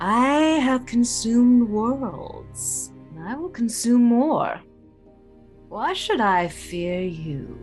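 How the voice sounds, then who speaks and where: A female-sounding, put-on character voice speaks at a fairly high pitch and a very slow pace. Music is clearly heard in the background. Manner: snide.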